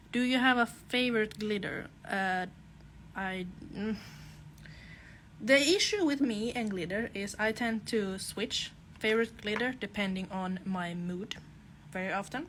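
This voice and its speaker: With a Finland-Swedish accent, a woman speaks at a fairly high pitch. Her pace is fairly slow, with long, frequent pauses. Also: ordinary pitch variation. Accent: Finland-Swedish accent, noticeable in English. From Åland Islands, Finland (Swedish-speaking Finn). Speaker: nail technician. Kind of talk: live tutorial with Q&A. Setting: Instagram live stream.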